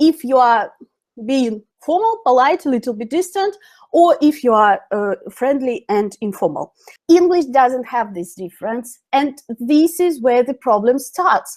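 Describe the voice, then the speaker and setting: Spoken fairly slowly in a Russian accent, the voice swings very widely in pitch. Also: woman, high pitch for a woman. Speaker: English teacher. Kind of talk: webinar lecture. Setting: online webinar. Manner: halting.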